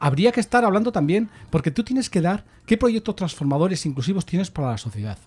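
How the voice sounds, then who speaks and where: The man's fairly quick delivery is somewhat breathy and swings very widely in pitch. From Spain. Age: 60s. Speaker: political commentator. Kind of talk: casual chat. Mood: earnest, argumentative. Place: studio. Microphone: studio mic.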